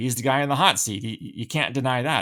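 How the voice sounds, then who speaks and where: A man with a Canadian accent speaks at a moderate pace and a medium pitch, with vocal fry. The recording is very clean, with a silent background. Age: 60s. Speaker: podcaster, former intelligence analyst. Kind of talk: solo podcast commentary.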